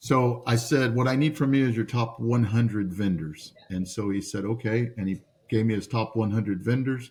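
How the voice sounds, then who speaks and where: A man talks at a medium pitch in a somewhat breathy voice. He uses ordinary pitch variation and hardly any pauses. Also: moderate pace. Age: 60s. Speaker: entrepreneur. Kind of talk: podcast interview storytelling. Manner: animated, repeats words often.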